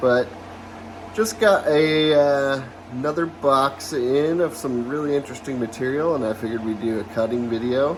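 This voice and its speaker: A man's pitch varies in an ordinary way while noticeable background noise plays behind him. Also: fairly high pitch for a man, moderate pace. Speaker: lapidary hobbyist YouTuber. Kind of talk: casual tutorial vlog. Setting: workshop. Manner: hesitant, many fillers.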